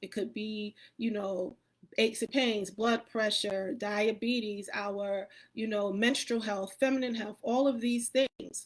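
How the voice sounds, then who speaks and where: The voice keeps fairly even intonation at a fairly slow pace. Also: woman. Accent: American. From New York City, Queens. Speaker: wellness coach. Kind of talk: live presentation.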